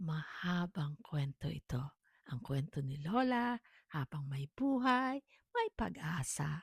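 The voice is somewhat breathy, moving at a very slow pace with very wide pitch swings. The recording is very clean with a silent background and a dry, close sound with no echo. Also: woman. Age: 60s. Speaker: storyteller vlogger. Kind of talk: personal testimony.

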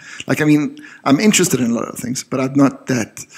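The man's talk moves fairly quickly, his pitch varies in an ordinary way, and the background stays quiet. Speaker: photographer; podcast co-host. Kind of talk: casual podcast conversation. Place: studio. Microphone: studio mic.

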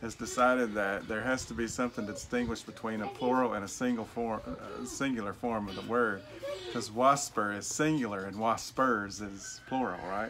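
A man speaks with a Southern Appalachian accent while music plays in the background. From Appalachian, southwest Virginia. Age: 40s. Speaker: vlogger. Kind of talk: casual talk to camera. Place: garden. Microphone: phone near.

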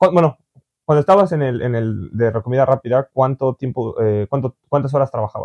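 Over a quiet background, a man speaks in a medium pitch with a dark, mellow tone and ordinary pitch variation. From Mexico. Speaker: vlogger and interviewer; vlogger, interviewer. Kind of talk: casual interview chat. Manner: halting, with many fillers. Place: home room.

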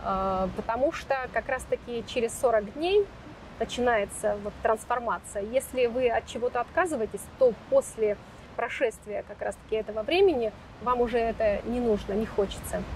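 Over light background noise, a woman with a fairly high pitch talks at a moderate pace in a dry sound with no echo. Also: ordinary pitch variation. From Stavropol region, Russia; Russia. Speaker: founder of a social health project. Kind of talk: interview about healthy lifestyle. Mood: calm, reflective. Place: garden. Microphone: lapel.

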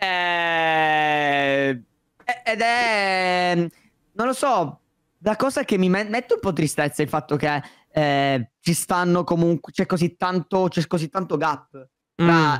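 A man with a high pitch speaks at a very slow pace with long, frequent pauses, ordinary pitch variation and very even loudness. The background is quiet and the sound dry with no echo. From Sicily, Palermo; Sicily. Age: 20s. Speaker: YouTuber. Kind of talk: casual chat. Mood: relaxed, chatty. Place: home room. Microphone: studio mic.

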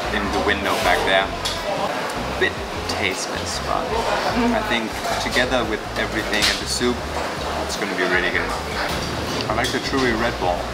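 A man at a moderate pace, with ordinary pitch variation, long and frequent pauses, and music in the background. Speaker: food vlogger. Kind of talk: casual vlog chat. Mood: relaxed, appreciative. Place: cafe. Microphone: phone near.

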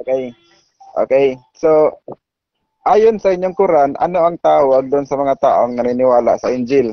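A man's unremarkable speaking voice, fairly high in pitch, with ordinary pitch variation and a fairly slow pace. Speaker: debater arguing against Islam. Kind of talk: formal religious debate. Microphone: phone, switching to headset.

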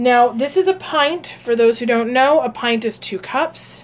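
A woman talks at a fairly slow pace in a high pitch, her intonation lively. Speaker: psychic and meditation channel host. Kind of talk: casual live stream cooking talk. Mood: relaxed, friendly.

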